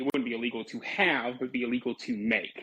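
The speaker moves at a fairly quick pace with a bright, sharp tone and fairly even intonation. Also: man. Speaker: caller. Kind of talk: call-in chat.

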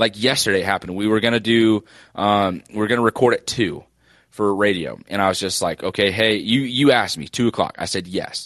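A plain, everyday voice with fairly even intonation, recorded dry and close with no echo against a quiet background. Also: man, fairly low pitch for a man, fairly quick pace. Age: 20s. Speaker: sports podcast co-host. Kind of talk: casual chat.

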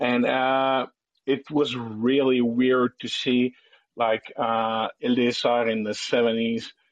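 A man at a medium pitch, very slow and monotone, with flat intonation. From Quebec. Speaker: caller. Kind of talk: casual chat. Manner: halting.

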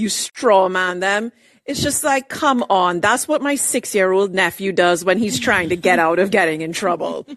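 The speaker has an unremarkable speaking voice at a moderate pace. The intonation is lively. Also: woman, medium pitch for a woman. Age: 30s. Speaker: caller. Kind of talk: casual chat.

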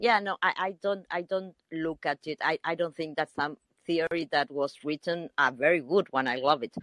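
A woman speaks at a moderate pace with a normal speaking voice. Her pitch is fairly low, with ordinary variation. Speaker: caller.

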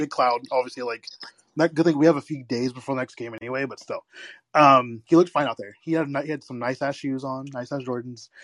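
Delivered at a fairly quick pace, the speech sounds dry and close with no echo, against a quiet background. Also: man, medium pitch for a man. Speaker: podcast co-host, teacher. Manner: animated.

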